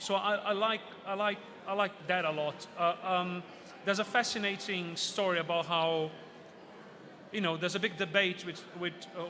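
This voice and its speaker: A high-pitched man with a Portuguese accent. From Brazil. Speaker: author and mythology speaker. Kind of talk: book fair talk. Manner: animated.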